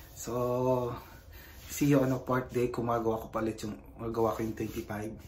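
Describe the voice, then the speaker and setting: There is light background noise in this clip. The man's intonation stays fairly even as he talks at a moderate pace. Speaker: fitness vlogger. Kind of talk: casual vlog chat. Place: gym. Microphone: phone near.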